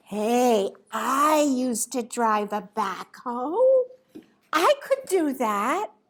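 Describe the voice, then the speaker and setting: A woman's put-on character voice, high in pitch and at a very slow pace. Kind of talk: children's storytelling. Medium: stage play. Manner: cheerful, eager.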